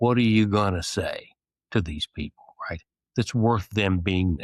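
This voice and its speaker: In an American accent, a man speaks at a moderate pace and fairly low pitch with ordinary pitch variation, in a very clean recording with a silent background. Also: dry, close sound with no echo. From US Midwest (Illinois). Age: 60s. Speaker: retired Navy SEAL officer. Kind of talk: interview. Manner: halting, many fillers and repetitions; informal.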